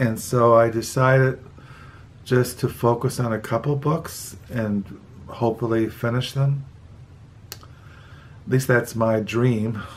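At a very slow pace, a man with an American accent talks in a medium pitch with fairly even intonation. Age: 60s. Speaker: book vlogger. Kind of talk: casual monologue. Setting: home video recording at night. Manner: halting.

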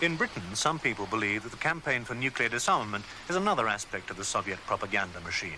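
His delivery comes very fast and full of lively intonation. Behind this man's voice, background noise is noticeable. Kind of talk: 1983 newsreel-style documentary narration. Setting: studio voiceover. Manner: formal, measured, authoritative; brisk, even-paced, declarative.

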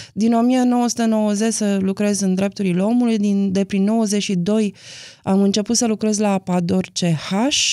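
Against a quiet background, a woman with a dark, mellow tone speaks at a very slow pace, her loudness very even and her intonation fairly even. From Romania, Timișoara / Arad area; Romania. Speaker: documentary film director; interview guest. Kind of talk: interview. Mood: calm, reflective. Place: studio. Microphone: studio mic.

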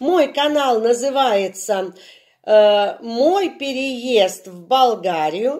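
Her voice is high-pitched, with very wide pitch swings. The woman speaks very slowly against a quiet background. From Russia. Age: 60s. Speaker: video blogger; vlogger about moving abroad. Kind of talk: channel introduction vlog. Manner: hesitant with filler sounds. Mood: friendly, warm. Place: home room. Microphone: phone near.

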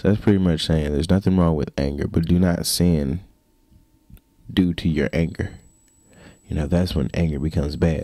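Over a quiet background, a man with a very deep, low pitch and a dark, mellow tone talks with ordinary pitch variation. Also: dry sound with no echo. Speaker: vlogger. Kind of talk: casual talk to camera. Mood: reflective, earnest. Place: home room. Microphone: handheld.

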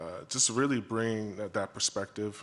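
A man's monotone, flat intonation. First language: not English; English is third language. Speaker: school board candidate. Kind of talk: candidate forum answers. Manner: halting, many fillers.

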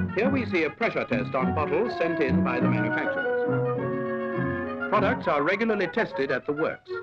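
A man talks at a moderate pace while loud music plays in the background. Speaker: documentary narrator. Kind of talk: formal documentary narration. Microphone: old recording.

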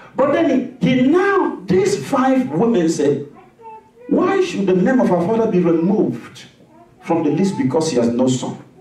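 With audible room echo, a man with a high pitch speaks in an animated tone at a fairly slow pace, his pitch swinging very widely. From West Africa (Nigeria, Igbo). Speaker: pastor. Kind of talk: sermon. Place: church.

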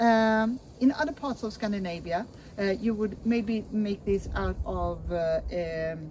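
A woman talks over noticeable background noise. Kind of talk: interview answer. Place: open country. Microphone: camera far.

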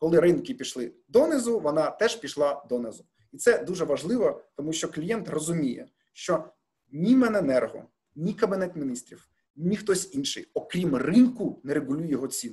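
Over a quiet background, a man with a high pitch and a dark, mellow tone speaks at a moderate pace with very wide pitch swings. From Ukraine. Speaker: gas company executive. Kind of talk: press briefing. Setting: video call. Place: office. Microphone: webcam.

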